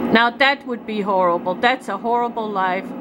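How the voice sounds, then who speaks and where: Moderate pacing from a woman amid noticeable background noise. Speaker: vlogger filming a neighbor dispute. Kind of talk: emotional personal rant to camera. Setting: outdoors at home near trailer. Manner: loud; agitated.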